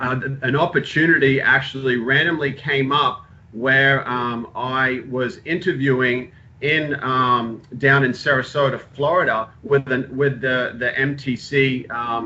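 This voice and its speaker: A man talks at a fairly slow pace and medium pitch, with fairly even intonation and a slight Australian accent. Noticeable background noise sits behind him. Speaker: sports physical therapist. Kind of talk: informal talk to students. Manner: halting, many fillers.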